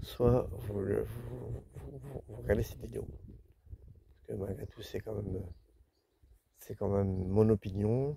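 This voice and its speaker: Speaking at a very slow pace, a man with a fairly low pitch, vocal fry and a dark, mellow tone makes very wide pitch swings and big swings in loudness. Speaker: travel vlogger camping with his dog. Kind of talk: casual vlog talk to camera. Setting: outdoors by a lake. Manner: louder because of the wind.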